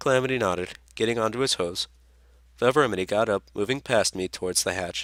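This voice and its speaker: In a dry, close sound with no echo and a very clean recording with a silent background, a man speaks at a moderate pace and fairly low pitch with ordinary pitch variation. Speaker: fan fiction reader. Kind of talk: read story.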